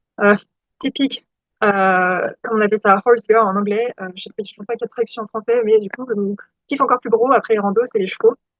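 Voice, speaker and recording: At a very fast pace, a woman talks in a fairly high pitch with fairly even intonation and big swings in loudness. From France, Loire-Atlantique. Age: 20s. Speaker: PhD student and vlogger. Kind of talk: casual vlog. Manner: hesitant, many fillers.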